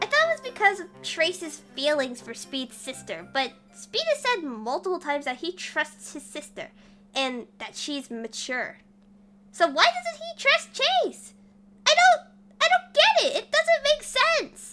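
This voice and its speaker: A female-sounding, put-on character voice. The pitch is extremely high. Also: moderate pace. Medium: dub.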